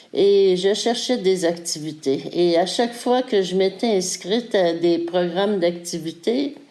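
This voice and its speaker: Against noticeable background noise, a woman talks at a medium pitch with ordinary pitch variation. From Quebec. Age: 60s. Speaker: fitness program participant. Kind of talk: testimony. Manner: hesitant, many fillers.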